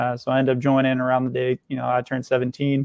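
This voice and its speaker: A man with a Kentucky accent and a medium-pitched voice talks very fast in a monotone, flat intonation. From Kentucky, small town. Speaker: nonprofit founder and Air Force veteran. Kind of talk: casual interview. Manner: many filler words (uh, you know).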